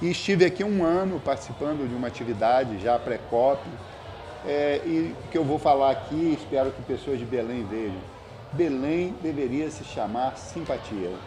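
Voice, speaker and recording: With a fairly high pitch and lively intonation, a man speaks at a moderate pace. Background noise is noticeable. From Brazil, Espírito Santo (Castelo). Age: 60s. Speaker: environmental scientist and professor. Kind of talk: podcast interview.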